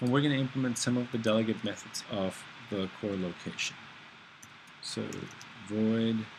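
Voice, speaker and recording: A medium-pitched man's voice with fairly even intonation and long, frequent pauses, over noticeable background noise. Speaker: programming instructor. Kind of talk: screencast tutorial. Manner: fast; halting, many fillers.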